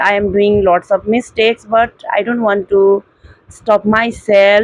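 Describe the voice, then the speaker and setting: With an Indian accent, a woman speaks at a fairly slow pace, the sound dry and close with no echo. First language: Hindi. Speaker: English learner vlogger. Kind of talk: casual monologue. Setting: at home indoors. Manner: halting.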